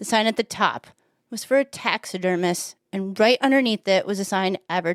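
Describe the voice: The background stays quiet. Over it comes plain reading aloud.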